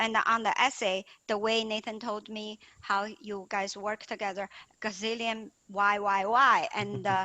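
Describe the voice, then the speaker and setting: Her fairly high voice stays monotone and flat as this woman speaks at a fairly slow pace. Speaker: parent of a student, software engineer. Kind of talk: testimony. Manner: halting.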